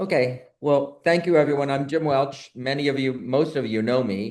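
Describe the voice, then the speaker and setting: There is audible room echo around a man's voice. He uses ordinary pitch variation. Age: 70s. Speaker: board member hosting a nursing webinar. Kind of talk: online talk introduction.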